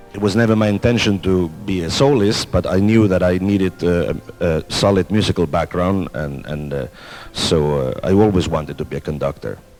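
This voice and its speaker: With music in the background, a man with a very deep, low pitch talks at a fairly quick pace, his pitch varying in an ordinary way. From Spain, then Denmark. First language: Spanish and Catalan. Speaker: orchestra conductor. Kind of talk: interview. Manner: hesitant, many fillers.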